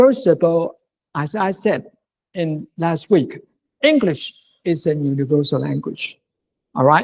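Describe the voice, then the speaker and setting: A fairly slow pace with long, frequent pauses, in a Mandarin accent. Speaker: university lecturer. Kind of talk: lecture. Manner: halting.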